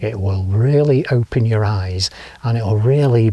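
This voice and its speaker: A man with an English accent talks at a moderate pace and a medium pitch, sounding somewhat breathy. His tone is dark and mellow, and his pitch varies in an ordinary way. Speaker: motorcycle travel vlogger. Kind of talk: travel vlog to camera. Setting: outdoors. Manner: casual, chatty with fillers; quiet.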